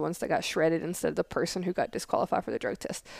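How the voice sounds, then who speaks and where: A woman with a Southern US accent and a fairly low pitch is heard in a dry, close sound with no echo on a very clean recording with a silent background. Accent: Southern US accent, still noticeable. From Tennessee. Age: 30s. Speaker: Air Force intelligence analyst, podcast co-host. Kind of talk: casual chat.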